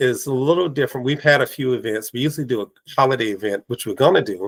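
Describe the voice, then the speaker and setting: A man talks very fast at a medium pitch, with ordinary pitch variation. The sound is dry and close, with no echo. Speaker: podcast host; teacher. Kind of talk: casual interview chat.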